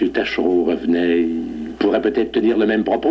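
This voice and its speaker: This man talks at a fairly slow pace. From Beauce, Quebec, Canada. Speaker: judge. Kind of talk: TV interview, historical reminiscence.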